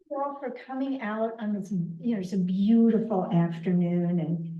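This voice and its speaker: A woman speaks at a fairly slow pace with ordinary pitch variation. Room echo is audible. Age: 60s. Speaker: author and educator. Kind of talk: public talk. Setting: library event with live audience.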